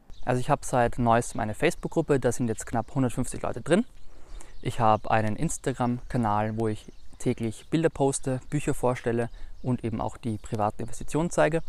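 A man speaks at a fairly quick pace in an unremarkable speaking voice, with medium pitch, ordinary pitch variation, and a very clean recording over a silent background. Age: 20s. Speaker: finance YouTuber. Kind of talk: interview answers. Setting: filmed video with camera operator.

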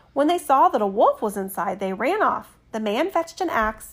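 What we hear is plain reading aloud.

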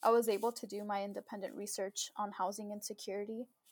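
Recorded dry and close with no echo, this voice has a Californian accent and fairly even intonation. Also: woman. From Southern California. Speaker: first-generation graduate, young professional. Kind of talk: interview, casual chat.

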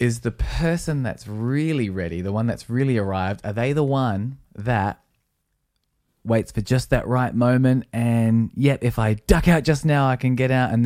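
A man at a medium pitch, talking at a moderate pace with ordinary pitch variation. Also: very clean recording, silent background. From Australia. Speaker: podcast co-host and musician. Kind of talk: casual chat. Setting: live-streamed video recorded at home.

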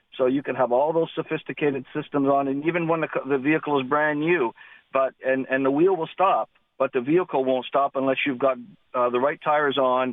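The speaker has an ordinary speaking voice with a Canadian accent. The pace is fairly quick and the intonation fairly even. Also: man. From Southern Ontario, Canada. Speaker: caller with tire business experience. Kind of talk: phone-in call. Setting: phone call.

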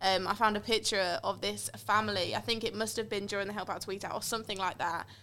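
A woman's bright, sharp voice with vocal fry, monotone and flat, at a very fast pace in a very clean recording with a silent background. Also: medium pitch for a woman. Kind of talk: casual chat.

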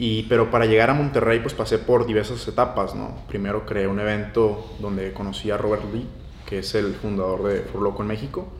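A man speaks at a fairly quick pace with a fairly low pitch and fairly even intonation, with audible room echo. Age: 20s. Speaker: young entrepreneur. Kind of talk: casual interview.

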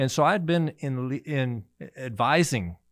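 This man has a plain, everyday voice at medium pitch. His intonation is lively. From US Midwest, Missouri-born, moved often. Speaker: physician. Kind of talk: interview.

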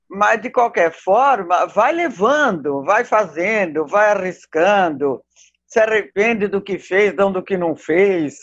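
Lively in intonation, a woman speaks at a medium pitch and a very slow pace. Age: 70s. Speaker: costume designer. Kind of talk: casual chat. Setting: video call.

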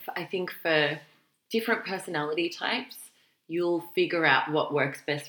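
In an Australian accent, a woman speaks at a moderate pace. Her pitch is fairly low. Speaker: careers podcast co-host. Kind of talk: casual chat.

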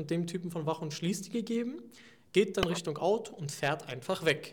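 A man speaks at a moderate pace in a high voice. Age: 20s. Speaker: student representative. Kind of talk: interview.

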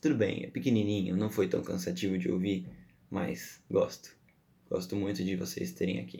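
A man with a fairly low pitch and dark, mellow tone speaks at a moderate pace with vocal fry. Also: lively intonation. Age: 20s. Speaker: podcast host. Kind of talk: solo podcast monologue. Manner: casual, chatty.

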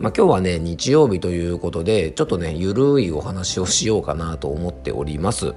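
Over music in the background, a man with a very deep, low pitch talks at a fairly quick pace in a relaxed tone, with lively intonation and hardly any pauses. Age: 40s. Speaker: herbal medicine pharmacist and podcast host. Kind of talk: casual monologue. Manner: relaxed, filler-heavy.

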